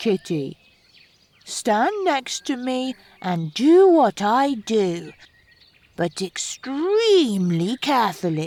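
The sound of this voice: A put-on character voice, female-sounding and fairly high in pitch, moves at a very slow pace with very wide pitch swings and long, frequent pauses.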